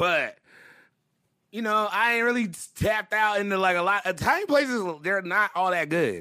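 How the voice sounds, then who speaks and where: A man with a high pitch projects a raised voice, bright and sharp in tone, at a moderate pace with ordinary pitch variation. The recording is very clean, the background silent. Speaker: podcast host. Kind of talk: casual banter, hip-hop podcast chat.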